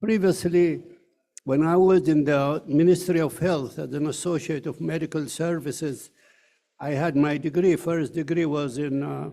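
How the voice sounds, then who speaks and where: A man's dark, mellow voice sits fairly high in pitch, with fairly even intonation. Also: moderate pace. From Ethiopia. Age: 80s+. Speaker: professor. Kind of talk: ceremony speech. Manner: halting.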